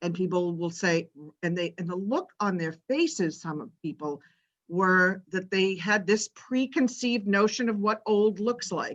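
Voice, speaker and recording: A woman speaks in an ordinary speaking voice, medium in pitch. Her pace is fairly slow and her pitch varies in an ordinary way. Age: 60s. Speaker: participant. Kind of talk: online group discussion.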